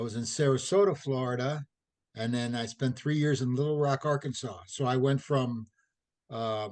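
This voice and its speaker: A man with an American accent speaks in a normal speaking voice at a medium pitch. His pace is moderate and his intonation fairly even. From St. Louis, Missouri. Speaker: retired athletic trainer. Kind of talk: interview.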